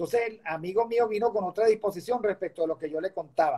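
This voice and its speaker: A man speaks against a quiet background. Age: 60s. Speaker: professor and political analyst; professor, political analyst. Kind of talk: interview. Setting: video call. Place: home room. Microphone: video call.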